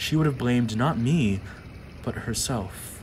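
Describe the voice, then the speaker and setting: Over noticeable background noise, a man at medium pitch speaks in a solemn, intense tone. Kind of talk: poem reading. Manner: slow, measured, deliberate delivery; solemn, intense, emotionally weighty.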